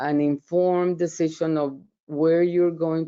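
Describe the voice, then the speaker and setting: A woman with a Colombian accent and fairly even intonation. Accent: Colombian Spanish accent, noticeable. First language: Spanish. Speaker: professor. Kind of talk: webinar presentation. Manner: hesitant, many fillers and repeats.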